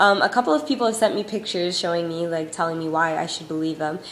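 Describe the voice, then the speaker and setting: Over noticeable background noise and audible room echo, a woman's pitch varies in an ordinary way. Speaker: YouTube vlogger. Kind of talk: casual vlog. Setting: home recording on iPod. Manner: fast.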